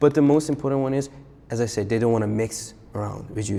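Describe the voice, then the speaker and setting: A man speaks fairly quickly in a Persian accent. His medium-pitched voice keeps a fairly even intonation. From Iran, then South Korea from age 7. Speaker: freestyle rapper. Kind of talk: casual chat. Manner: casual, with many fillers.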